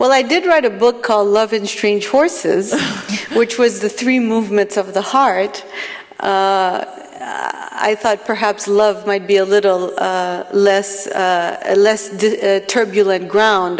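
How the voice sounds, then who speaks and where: Over noticeable background noise, a woman at a medium pitch speaks at a fairly slow pace, her loudness very even and her pitch variation ordinary. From Palestinian diaspora, multilingual upbringing. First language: not English; grew up with four home languages. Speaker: poet. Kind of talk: panel discussion. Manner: halting, many fillers and restarts.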